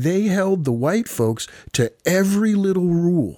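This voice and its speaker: With an American accent and a dark, mellow tone, a man speaks in very wide pitch swings. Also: very clean recording, silent background. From Ohio, Columbus. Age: 50s. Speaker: carpenter and radio music host. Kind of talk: interview.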